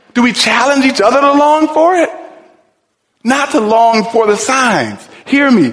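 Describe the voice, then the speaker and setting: Audible room echo surrounds a man speaking in an American accent. His pitch is extremely high, and his pace is fairly slow. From US Midwest, Cleveland. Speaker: pastor. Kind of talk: sermon. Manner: animated.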